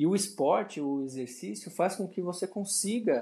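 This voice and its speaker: A man's voice carries a dark, mellow tone with very wide pitch swings. The background is quiet. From Brazil, São Paulo. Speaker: personal trainer. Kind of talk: casual interview conversation. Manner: halting, with frequent repetitions and fillers.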